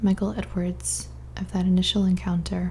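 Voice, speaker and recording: A woman is soft-spoken. She talks at a moderate pace. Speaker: ASMR creator reading a book aloud. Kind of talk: ASMR book reading.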